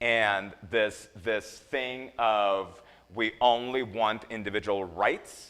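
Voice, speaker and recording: Speaking very slowly with a slight non-native accent, a man uses a medium pitch and ordinary pitch variation. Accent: slight foreign. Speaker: nursing educator. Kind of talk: lecture. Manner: animated; halting, many repetitions.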